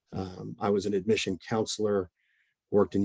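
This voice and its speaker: A man with a strong Oklahoma accent speaks at a fairly quick pace in a fairly low, monotone, flat voice. The sound is dry and close with no echo, and the background is quiet. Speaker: mental health counselor. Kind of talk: presentation. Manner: many fillers and repetitions.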